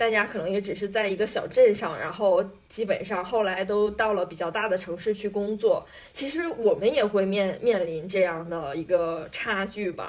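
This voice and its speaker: Amid noticeable background noise, a woman talks at a moderate pace and medium pitch with ordinary pitch variation. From Northeast China. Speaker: podcast co-host. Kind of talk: casual chat.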